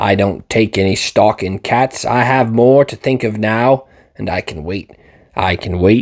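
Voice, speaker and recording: In a raspy, put-on character voice, a man speaks at medium pitch and a moderate pace with ordinary pitch variation, on a very clean recording with a silent background. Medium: read story. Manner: furtive, obsessive.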